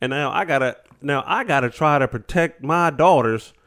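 A man with a normal speaking voice talks at a fairly high pitch with lively intonation. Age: 40s. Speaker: podcast host. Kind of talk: casual chat.

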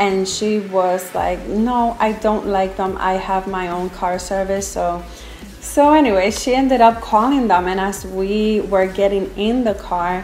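A woman with an American accent at medium pitch, fairly slow and fairly even in intonation, with audible room echo and noticeable background noise. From New York City (Brooklyn). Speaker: pastor's wife, youth pastor. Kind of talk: personal testimony.

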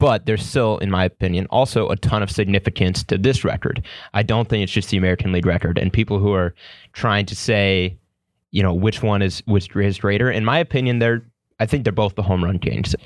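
In a dry, close sound with no echo, a man with a plain, everyday voice talks at a fairly low pitch and a fairly quick pace with ordinary pitch variation. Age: 20s. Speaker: college sports podcast host. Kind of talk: casual chat.

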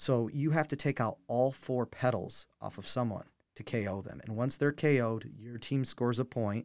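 Pitch variation here is ordinary for this man. He keeps a moderate pace. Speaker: game company rep. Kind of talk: casual interview.

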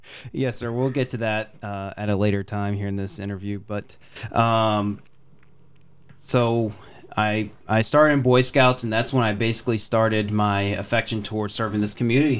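An ordinary speaking voice, this man talks with an American accent at a moderate pace, fairly low pitch and fairly even intonation. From Texas. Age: 20s. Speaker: political candidate. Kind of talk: interview. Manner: formal.

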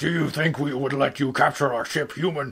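A man does a growling, put-on character voice at a fairly high pitch. His pace is fairly quick and his intonation monotone and flat. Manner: snarling.

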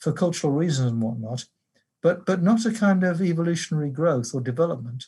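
A man with an English accent, fairly high in pitch, at a fairly quick pace and with lively intonation. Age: 70s. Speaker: theology professor and pastor. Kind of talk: interview. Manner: hesitant, many uh and um.

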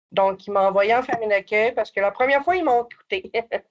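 A woman in a Quebec accent at medium pitch. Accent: Québécois French. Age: 20s. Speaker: former youth in care, community advocate. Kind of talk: personal testimony interview.

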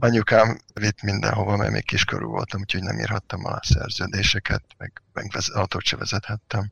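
A man talks at a fairly quick pace with hardly any pauses, his pitch fairly low. His intonation is monotone and flat, with vocal fry. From Hungary, Kecskemét. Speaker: software engineer. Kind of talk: interview.

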